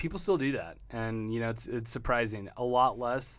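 This man has an unremarkable speaking voice and an American accent. He talks at a fairly quick pace with fairly even intonation. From Texas. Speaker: car dealership owner. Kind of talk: interview.

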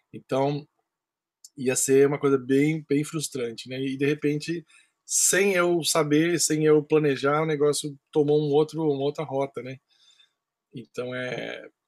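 A man's fairly high-pitched voice, flat and monotone, with a dry, close sound and no echo. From Brazil, Campinas (São Paulo state). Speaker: percussionist. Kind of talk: interview.

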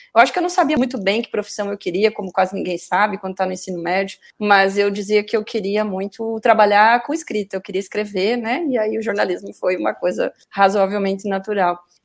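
Hers is an unremarkable speaking voice, a woman at a medium pitch talking at a fairly quick pace with fairly even intonation and hardly any pauses. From Paraná, southern Brazil. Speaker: communication professor. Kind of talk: interview.

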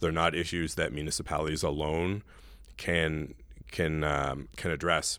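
Vocal fry in a very clean recording with a silent background. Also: man. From New Brunswick, Canada. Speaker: town mayor. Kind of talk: interview.

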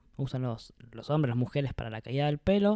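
A man's fairly high-pitched voice on a very clean recording with a silent background, dry and close with no echo. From Argentina, Misiones. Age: 30s. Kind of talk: casual chat. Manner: halting, repeated words.

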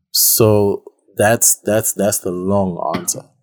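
A man speaks at a very slow pace with a fairly low pitch. The sound is dry and close, with no echo. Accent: Zimbabwean. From Zimbabwe. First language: Shona. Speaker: artist. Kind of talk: casual chat.

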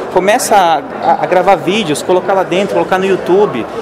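There is audible room echo and noticeable background noise as a man with a high pitch speaks at a moderate pace. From São Paulo state, Brazil. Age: 20s. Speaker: digital marketing specialist. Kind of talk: interview. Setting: at a marketing event.

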